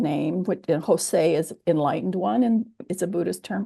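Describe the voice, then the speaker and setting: Over a quiet background, a woman with a General American accent speaks in a dark, mellow tone. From US military bases (Kansas, Germany, California). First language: Japanese. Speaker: theologian. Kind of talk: oral history interview. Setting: video call.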